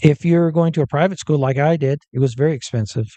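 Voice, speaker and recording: A man talks in a fairly high voice with a dark, mellow tone and ordinary pitch variation. The sound is dry and close with no echo, over a quiet background. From Northern California. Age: 60s. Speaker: physician. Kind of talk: interview. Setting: on location at a coffee shop. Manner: halting.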